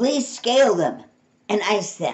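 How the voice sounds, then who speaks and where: In a put-on character voice, a woman speaks with a fairly high pitch and very wide pitch swings. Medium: read story. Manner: polite, matter-of-fact.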